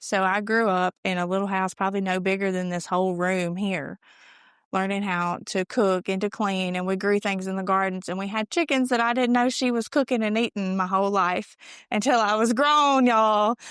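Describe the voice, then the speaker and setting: A woman with a Mississippi accent speaks at a medium pitch and a moderate pace, with ordinary pitch variation. Her voice sounds dry and close with no echo, and the background is quiet. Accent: Southern US (Mississippi). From Mississippi, US South. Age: 20s. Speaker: recovery speaker. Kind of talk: testimony.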